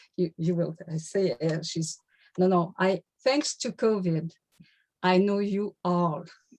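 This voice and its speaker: Very slowly and with long, frequent pauses, a woman with a French-Canadian accent speaks at medium pitch with ordinary pitch variation, in a dry, close sound with no echo. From Quebec. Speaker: laughter yoga leader. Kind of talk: workshop self-introduction. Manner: halting, many fillers.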